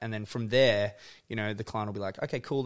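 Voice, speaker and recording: A man with an Australian accent speaks at a medium pitch with fairly even intonation, on a very clean recording with a silent background. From Tasmania, Australia. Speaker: photographer and video director. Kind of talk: casual chat. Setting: home studio.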